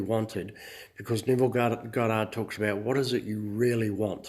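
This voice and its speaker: This man has an Australian accent. His intonation stays monotone and flat. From Australia, Queensland. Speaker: fitness instructor and self-help vlogger. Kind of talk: casual monologue. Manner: halting, many fillers.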